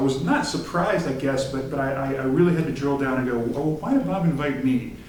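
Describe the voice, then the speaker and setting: The speech runs at a very fast pace with hardly any pauses and ordinary pitch variation. Audible room echo and noticeable background noise fill the recording. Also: man. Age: 40s. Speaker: theater director. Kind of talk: talk to a student group. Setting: meeting with audience. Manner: halting, many fillers.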